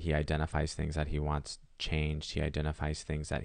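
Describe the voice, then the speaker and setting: A man with a very deep, low voice. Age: 20s. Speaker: actor and comedian. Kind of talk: casual chat. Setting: studio. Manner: animated.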